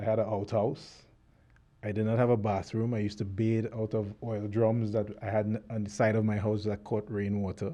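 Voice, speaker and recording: With a Trinidadian accent, a man talks in a fairly low, dark and mellow voice, his intonation monotone and flat. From Trinidad (Cascade, Port of Spain). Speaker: author. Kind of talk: interview testimony. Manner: halting.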